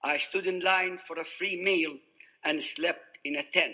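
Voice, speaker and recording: Speaking at a fairly slow pace, a man with an Arabic accent has a high pitch and a bright, sharp tone. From Iraq, Baghdad. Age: 80s+. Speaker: refugee survivor speaker. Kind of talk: prepared testimony speech.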